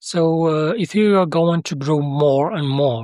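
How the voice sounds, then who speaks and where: A fairly slow voice with a non-native accent, in a very clean recording against a silent background. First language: Arabic. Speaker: software developer demoing own tool. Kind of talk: tutorial. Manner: halting, many fillers.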